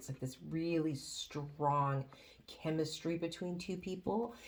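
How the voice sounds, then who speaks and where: A woman speaks at a very deep, low pitch. Her voice is quiet. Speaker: tarot reader. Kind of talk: tarot reading. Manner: quiet, straining to be loud; hesitant, many fillers.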